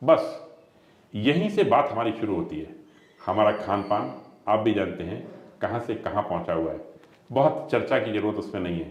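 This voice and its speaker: The man's voice sits at a medium pitch with lively intonation. Audible room echo surrounds it. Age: 60s. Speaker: ayurvedic doctor. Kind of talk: health interview explanation.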